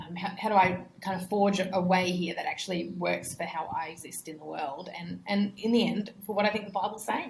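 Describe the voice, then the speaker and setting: A woman with an Australian accent at a medium pitch, hardly any pauses, big swings in loudness and fairly even intonation. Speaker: missionary. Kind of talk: interview conversation. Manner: hesitant, repeats words.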